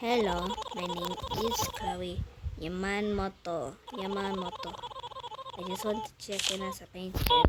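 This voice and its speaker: Using a put-on character voice, a woman speaks at a fairly slow pace in a medium pitch. Loud background noise runs underneath. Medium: game stream.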